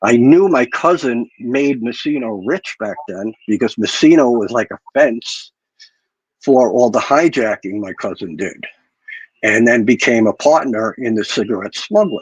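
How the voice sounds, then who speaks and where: With an ordinary speaking voice, a man talks at a medium pitch with ordinary pitch variation, in a dry, close sound with no echo. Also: fairly slow pace. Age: 60s. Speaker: guest on mafia history livestream. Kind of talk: personal storytelling on livestream.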